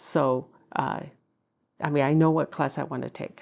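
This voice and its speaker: The voice carries vocal fry, with monotone, flat intonation at a moderate pace. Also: woman. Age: 60s. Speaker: feng shui and BaZi content creator. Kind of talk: casual video monologue. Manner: hesitant, many fillers.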